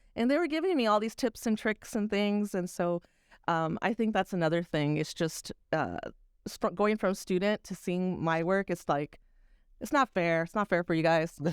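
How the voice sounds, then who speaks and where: An unremarkable speaking voice, a woman talks at a medium pitch and moderate pace with lively intonation, in a dry, close sound with no echo on a very clean recording with a silent background. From Texas. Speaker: video producer and teacher. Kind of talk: casual chat.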